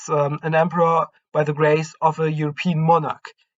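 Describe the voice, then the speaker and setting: With a non-native accent, a man speaks in a fairly high pitch and a monotone, flat intonation. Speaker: history YouTuber. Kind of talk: history narration to camera. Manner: hesitant, many fillers.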